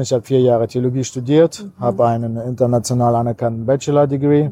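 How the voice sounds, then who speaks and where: Very fast in pace, a man talks at a medium pitch with a dark, mellow tone and fairly even intonation. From Kazakhstan, then Cologne region. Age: 40s. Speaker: pastor. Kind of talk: interview.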